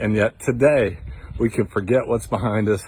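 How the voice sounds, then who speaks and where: Somewhat breathy and fairly low in pitch, a man's voice comes through. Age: 60s. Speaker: devotional video host. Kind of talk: devotional talk. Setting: outdoors, walking in the woods. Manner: casual, conversational.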